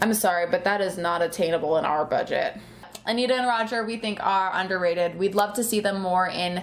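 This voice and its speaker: Noticeable background noise sits behind this woman's voice. She speaks at a medium pitch and a fairly quick pace. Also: ordinary pitch variation. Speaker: pin collecting youtuber. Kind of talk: casual chat. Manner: loud; animated.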